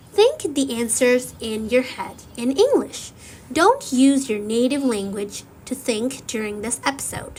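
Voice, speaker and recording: A woman talks at a fairly slow pace in a high voice. Her pitch varies in an ordinary way. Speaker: English learning podcast host. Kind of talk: slow scripted teaching monologue.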